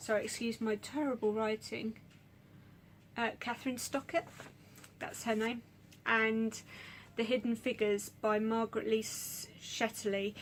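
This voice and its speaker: This woman speaks at a fairly slow pace with a fairly high pitch. Her intonation is flat and monotone. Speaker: book vlogger. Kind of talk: casual monologue. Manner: halting.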